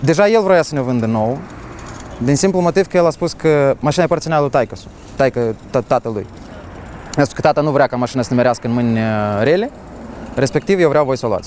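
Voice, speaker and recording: Fairly high male voice with lively intonation, long, frequent pauses and noticeable background noise. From Moldova. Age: 20s. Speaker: car collector. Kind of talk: interview.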